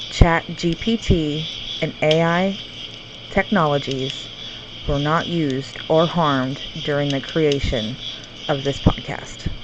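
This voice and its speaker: Against noticeable background noise, a woman with an American accent speaks very slowly in a very deep, low voice, with ordinary pitch variation and long, frequent pauses. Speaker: paranormal podcaster. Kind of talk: podcast history narration. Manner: casual.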